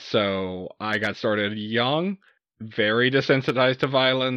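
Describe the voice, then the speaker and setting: A man with a normal speaking voice, in an American accent, speaks at a medium pitch with ordinary pitch variation. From US South, Southeast Texas. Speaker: horror podcast co-host. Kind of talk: casual chat.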